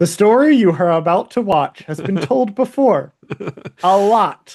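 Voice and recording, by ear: Middle in pitch and moderate in pace, the squeaky, put-on character voice carries the whole act.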